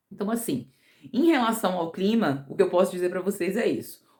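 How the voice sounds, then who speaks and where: A woman's ordinary speaking voice, with ordinary pitch variation and a fairly quick pace. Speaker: vlogger. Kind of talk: casual vlog talk.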